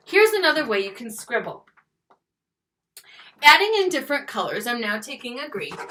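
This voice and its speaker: In a raised, projected voice, a woman speaks high and fairly quickly with very wide pitch swings and long, frequent pauses, amid audible room echo. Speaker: schoolteacher. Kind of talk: classroom video lesson. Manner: fast; animated.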